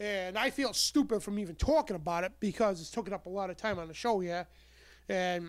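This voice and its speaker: In a very clean recording with a silent background, a man talks fairly quickly at a high pitch, his loudness swinging widely. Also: ordinary pitch variation. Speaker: talk radio host. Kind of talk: talk radio show monologue. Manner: sarcastic, ranting, exasperated.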